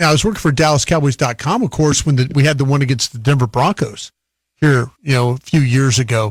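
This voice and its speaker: A man's somewhat breathy, fairly high voice at a very fast pace, with ordinary pitch variation and very even loudness, in a dry, close sound with no echo on a very clean recording with a silent background. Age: 60s. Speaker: radio football analyst. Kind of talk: live broadcast commentary.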